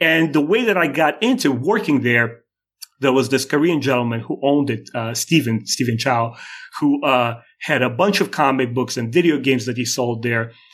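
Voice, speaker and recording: A man's lively intonation and Russian accent at a moderate pace. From Moldova (Soviet Union), Russian-speaking. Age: 40s. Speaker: YouTube creator and animator. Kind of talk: casual interview chat. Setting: remote call. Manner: halting.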